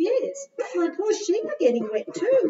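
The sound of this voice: Squeaky and cartoonish, a female-sounding character voice speaks fairly slowly at an extremely high pitch.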